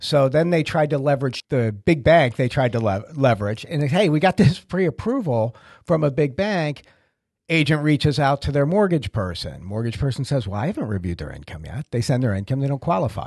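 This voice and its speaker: A man with an American accent and a fairly high pitch speaks at a fairly quick pace, somewhat breathy, with very wide pitch swings. The sound is dry with no echo, over a quiet background. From Massachusetts. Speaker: podcast host. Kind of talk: casual chat. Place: office. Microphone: studio mic.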